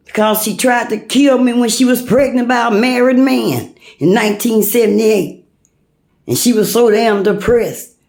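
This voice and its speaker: With audible room echo, a woman speaks in an animated tone at a moderate pace, her fairly high pitch showing ordinary variation. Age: 60s. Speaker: vlogger. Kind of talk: personal rant.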